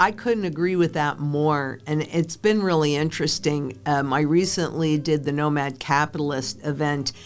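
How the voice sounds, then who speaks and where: A woman's very deep, low voice at a moderate pace, with ordinary pitch variation, hardly any pauses, and a very clean recording against a silent background. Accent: American. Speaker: financial analyst, former banker and stockbroker. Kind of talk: interview conversation.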